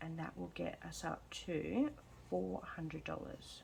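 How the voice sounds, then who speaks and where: This woman speaks with an Australian accent. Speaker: budgeting vlogger. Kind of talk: casual vlog chat. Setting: at home. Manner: soft-spoken, quiet.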